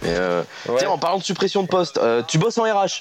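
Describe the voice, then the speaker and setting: A man's pitch swings very widely as he speaks. There is noticeable background noise. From northern France (Picardy). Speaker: humor columnist. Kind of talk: comedic radio chronicle.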